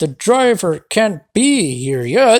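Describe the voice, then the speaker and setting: A put-on character voice, rumbling and fairly high in pitch, with very wide pitch swings. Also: female-sounding voice. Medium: read story. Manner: grumbling, huffy.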